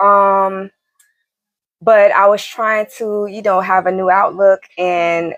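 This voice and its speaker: Her delivery is very slow. The woman speaks with monotone, flat intonation. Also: dry, close sound with no echo. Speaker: healing coach and channel host. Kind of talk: casual livestream talk. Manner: stutters and stumbles over words; casual, hesitant with many fillers.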